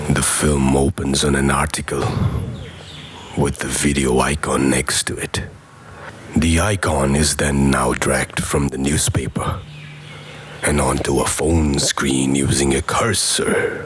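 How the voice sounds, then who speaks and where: Over music in the background, a man with a very deep, low pitch speaks at a fairly slow pace, with fairly even intonation and long, frequent pauses. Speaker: voice actor. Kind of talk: TV commercial read.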